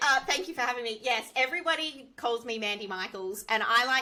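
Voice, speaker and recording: Over noticeable background noise, a woman with an Australian accent talks at a fairly quick pace with lively intonation. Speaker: software engineer. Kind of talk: interview.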